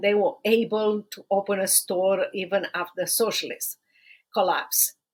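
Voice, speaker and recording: A woman speaks with a Romanian accent. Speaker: podcast host and human rights attorney. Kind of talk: podcast monologue. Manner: halting.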